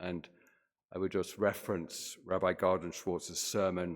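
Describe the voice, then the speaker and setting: In a British accent, a man with a very deep, low pitch speaks at a moderate pace with fairly even intonation. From Britain. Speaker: physician and scientist, guest speaker. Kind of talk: sermon.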